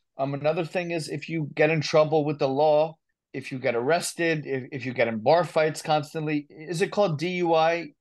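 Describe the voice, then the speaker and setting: A man's fairly high voice, fairly quick in pace and fairly even in intonation. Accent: New Jersey. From New Jersey. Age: 30s. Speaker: recovery advocate and author. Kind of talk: casual interview.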